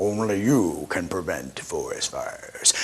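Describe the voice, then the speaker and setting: Clear background noise sits behind a put-on character voice that moves fairly slowly. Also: man. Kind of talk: public-service announcer. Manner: solemn, warning.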